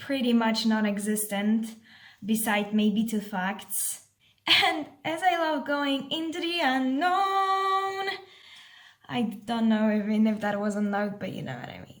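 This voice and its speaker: In a Polish accent, a woman with a fairly high pitch speaks at a very slow pace with lively intonation, with audible room echo around her. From Poland. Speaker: vlogger, exchange volunteer. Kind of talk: casual vlog.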